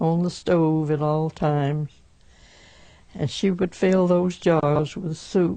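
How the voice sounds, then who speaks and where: A woman with a Southern US accent speaks at a very slow pace in a monotone, flat intonation, her dark, mellow voice fairly low in pitch. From Alabama, USA. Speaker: 1918 flu pandemic survivor. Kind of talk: oral history interview answer.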